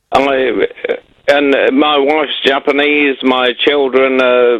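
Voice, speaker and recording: Noticeable background noise accompanies a man at medium pitch. He speaks at a very slow pace. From English Midlands. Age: 40s. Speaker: caller, ex-serviceman. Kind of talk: phone-in call. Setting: phone call from Japan. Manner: halting, repeats words.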